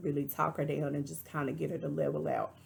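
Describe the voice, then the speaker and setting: A woman with a Texas accent speaks at a very deep, low pitch in a bright, sharp tone with vocal fry. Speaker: reality TV reviewer. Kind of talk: casual commentary.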